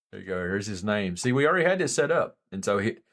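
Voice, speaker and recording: Recorded very cleanly against a silent background, a man with an Appalachian accent speaks at a fairly low pitch. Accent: Southern US (Appalachian). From US South, western North Carolina mountains. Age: 40s. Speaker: live streamer, former Marine. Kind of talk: live stream chat. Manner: soft-spoken; casual, halting.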